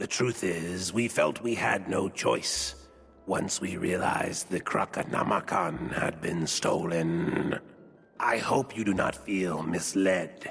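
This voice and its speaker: A man puts on a character voice with a very deep, low pitch. He speaks at a fairly slow pace over clear background noise. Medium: video game. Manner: solemn, measured.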